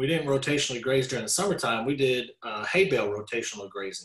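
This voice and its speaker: A man with a Texan accent, medium pitch and a somewhat breathy voice. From Texas (Dallas). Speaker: rancher. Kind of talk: casual interview.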